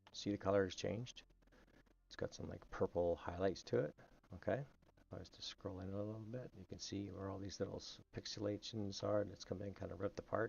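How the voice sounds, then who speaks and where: A man speaks with a Canadian accent in a somewhat breathy voice. His loudness swings widely. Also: fairly quick pace. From Canada. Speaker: game map-building tutorial streamer. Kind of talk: tutorial. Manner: casual, halting with fillers.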